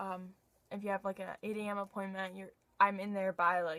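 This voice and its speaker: A woman is speaking. Her pace is fairly quick. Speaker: dental hygiene student vlogger. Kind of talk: casual Q&A vlog. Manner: halting, filler-heavy.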